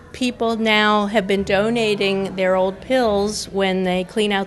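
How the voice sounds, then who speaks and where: Music plays in the background as a woman speaks. Her pace is fairly slow and her intonation fairly even. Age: 60s. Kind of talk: interview testimony.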